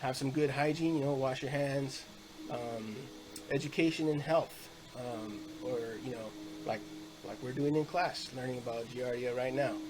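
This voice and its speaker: Moderate pace with audible room echo and noticeable background noise. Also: man. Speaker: student presenter. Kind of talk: class presentation. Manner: halting, many fillers.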